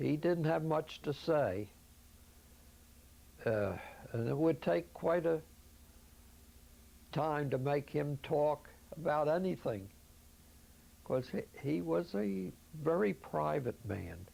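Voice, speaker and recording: With a Philadelphia accent, a man with a fairly high pitch and a dark, mellow tone speaks very slowly with long, frequent pauses and very wide pitch swings. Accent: Philadelphia American English. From Philadelphia, US. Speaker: elder recounting his life story. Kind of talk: oral history interview. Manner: halting.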